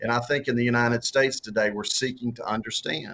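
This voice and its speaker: A man with a strong Southern US accent talks in fairly even intonation. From US South. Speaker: author and former political candidate. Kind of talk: interview. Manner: halting, many repeated words and fillers.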